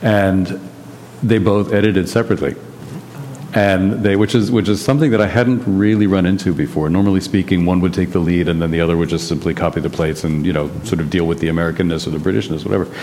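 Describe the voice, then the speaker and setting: A man with a very deep, low pitch talks at a very fast pace with ordinary pitch variation. Noticeable background noise runs under the recording. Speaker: translator and publisher. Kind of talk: panel discussion. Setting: stage with audience.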